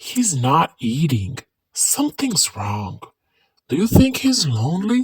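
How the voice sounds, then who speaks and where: A put-on character voice at a middle pitch with very wide pitch swings and a fairly slow pace. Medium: read story. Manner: warm, upbeat.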